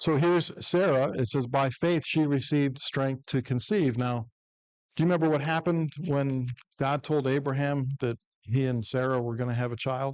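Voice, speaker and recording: Against a quiet background, a man with an American accent speaks at a fairly high pitch with ordinary pitch variation. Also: moderate pace. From US Midwest, northern Ohio. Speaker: preacher. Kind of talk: Bible class teaching. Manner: conversational.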